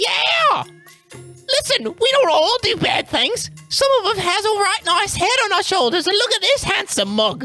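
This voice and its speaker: A man doing a put-on character voice at a moderate pace, faint music in the background. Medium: actual play. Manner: chatty, cheeky, enthusiastic.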